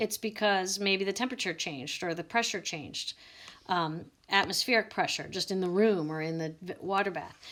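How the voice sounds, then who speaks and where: A woman's medium-pitched voice at a fairly quick pace, with ordinary pitch variation, on a very clean recording with a silent background. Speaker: biology teacher. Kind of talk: recorded lecture. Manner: fast; casual.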